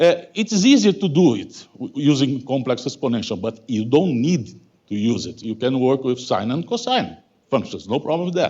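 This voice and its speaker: This man's voice sits fairly high. His pitch swings very widely. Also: moderate pace. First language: Portuguese. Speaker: mathematical physics professor. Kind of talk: lecture. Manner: halting, many fillers.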